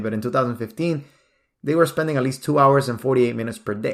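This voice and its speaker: Recorded very cleanly against a silent background, a man with a Nicaraguan accent speaks at a medium pitch with ordinary pitch variation. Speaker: podcast host. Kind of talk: podcast monologue.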